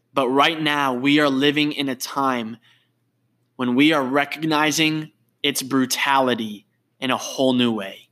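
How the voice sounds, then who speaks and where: Speaking at a fairly slow pace, a man has an ordinary speaking voice with a fairly high pitch and fairly even intonation. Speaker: podcast host. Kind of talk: faith-based interview conversation. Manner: warm, earnest.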